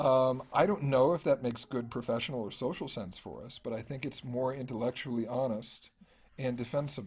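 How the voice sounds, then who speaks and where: The voice is somewhat breathy, with ordinary pitch variation. Its loudness swings widely at a fairly quick pace. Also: man, medium pitch for a man. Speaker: music scholar. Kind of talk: academic talk. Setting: video call.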